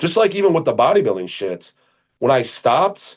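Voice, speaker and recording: A man with a medium pitch makes very wide pitch swings. Vocal fry shows up in his voice. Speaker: former bodybuilder and online coach. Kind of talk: casual chat. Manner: fast; animated.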